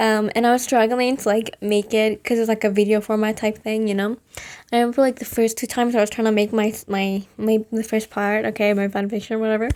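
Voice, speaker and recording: The recording is very clean, with a silent background. A woman talks fairly quickly in a fairly high, monotone, flat voice. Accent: non-native. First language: not English. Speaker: vlogger. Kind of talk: casual monologue. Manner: hesitant, many fillers.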